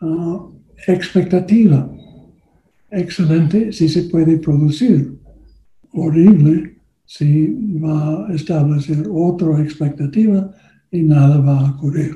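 In a non-native accent, the speaker talks at a very slow pace with long, frequent pauses and a dark, mellow tone. Audible room echo fills the space. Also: man, fairly high pitch for a man, ordinary pitch variation. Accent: foreign, non-native Spanish. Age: old. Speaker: political campaign consultant. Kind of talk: workshop lecture. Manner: halting, many fillers.

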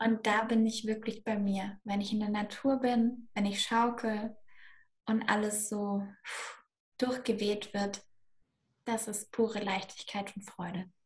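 Her fairly high, somewhat breathy voice moves at a very slow pace, with monotone, flat intonation and long, frequent pauses from this woman. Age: 20s. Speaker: manifestation and money mindset coach. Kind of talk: podcast interview.

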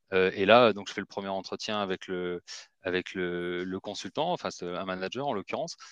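A man speaks at a moderate pace with a very deep, low pitch and fairly even intonation. The sound is dry and close with no echo, against a quiet background. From Marseille, southern France. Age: 30s. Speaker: recruitment firm director. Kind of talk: interview. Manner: hesitant, many fillers.

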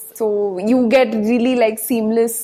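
A woman speaks at a fairly high pitch with ordinary pitch variation over noticeable background noise. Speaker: design student. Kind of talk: interview.

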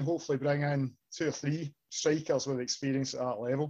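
The speaker has a Scottish accent and ordinary pitch variation. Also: man. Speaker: podcast host. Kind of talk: casual chat. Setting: studio.

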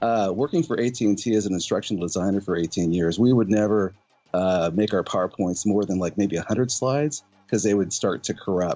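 Keeping very even loudness, a man with an unremarkable speaking voice talks at a moderate pace with a fairly low pitch and ordinary pitch variation. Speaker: flat earth channel guest. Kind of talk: casual group livestream chat. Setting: video call.

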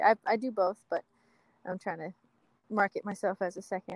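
A woman speaks at a medium pitch and a moderate pace, with a dry, close sound and no echo. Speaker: assistant director on film sets. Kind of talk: casual interview chat. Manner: laid-back, chill.

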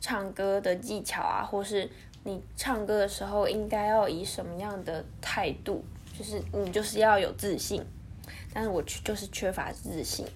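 Woman's voice in a Taiwanese accent at a moderate pace, with audible room echo. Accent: Taiwanese Mandarin. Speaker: podcast host. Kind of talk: solo monologue.

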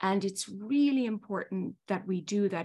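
In a very clean recording with a silent background, a woman with an Irish accent speaks at a fairly high pitch with lively intonation. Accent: Irish, still noticeable. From Ireland. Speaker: marketing executive. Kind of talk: interview. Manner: formal.

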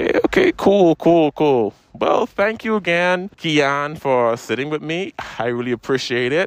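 A man with a fairly high pitch, an upbeat tone and lively intonation talks at a fairly slow pace in a dry, close sound with no echo, over noticeable background noise. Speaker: podcast host. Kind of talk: casual interview at a convention. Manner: casual, upbeat.

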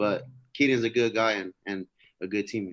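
A man with an American accent, a plain, everyday voice, ordinary pitch variation, a moderate pace, and dry, close sound with no echo. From California. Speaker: former college football player preparing for the draft. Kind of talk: interview.

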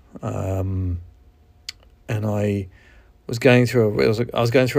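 A man speaks with a New Zealand accent. His pitch is fairly low and his intonation fairly even. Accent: New Zealand (Kiwi). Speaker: podcast host. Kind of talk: solo podcast monologue, casual. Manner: halting, with fillers.

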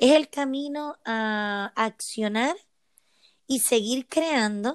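In a very clean recording with a silent background and a dry, close sound without echo, a woman speaks at a fairly high pitch with ordinary pitch variation. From Puerto Rico. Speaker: emotional wellbeing coach. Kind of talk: interview.

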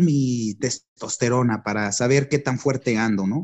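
A man is speaking. His pace is fairly slow. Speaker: lawyer and journalist. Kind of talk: casual chat.

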